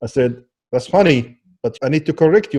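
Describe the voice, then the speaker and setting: This man has a fairly high pitch and an Arabic accent. He speaks at a moderate pace in a dark, mellow tone. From Kuwait, then decades in Alabama. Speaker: social media consultant. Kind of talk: casual chat.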